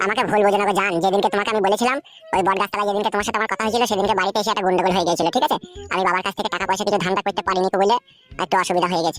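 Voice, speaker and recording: In a cartoonish character voice, a man speaks at a very fast pace and high pitch while faint music plays in the background. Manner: wheedling, flowery and crude.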